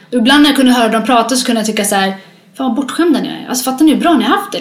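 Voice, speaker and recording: The intonation is lively. Noticeable background noise and audible room echo surround the voice. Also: woman. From Sweden, moved from Eritrea at six. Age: 30s. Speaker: interviewee sharing life story. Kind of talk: testimony.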